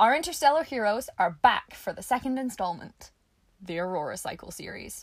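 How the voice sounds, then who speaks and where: In a Scottish accent, a woman speaks at a fairly quick pace with a high pitch and very wide pitch swings. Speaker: podcast host. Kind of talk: casual solo podcast monologue. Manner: chatty, informal.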